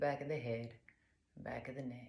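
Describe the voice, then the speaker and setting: A woman speaks at a moderate pace in a very deep, low pitch, somewhat breathy, with a dark, mellow tone. Her intonation stays fairly even, and her tone is calm and soothing. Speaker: yoga instructor. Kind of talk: guided yoga class instruction. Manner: calm, soothing.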